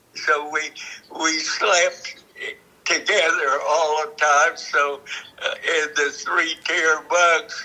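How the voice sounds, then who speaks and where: Noticeable background noise sits behind a man with an American accent. He talks at a very slow pace. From Kansas. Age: 90s. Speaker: war veteran. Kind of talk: interview answer.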